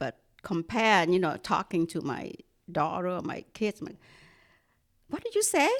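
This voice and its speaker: A woman with a Vietnamese accent, medium pitch and lively intonation, at a fairly slow pace with long, frequent pauses. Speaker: staff member. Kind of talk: casual chat. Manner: clear.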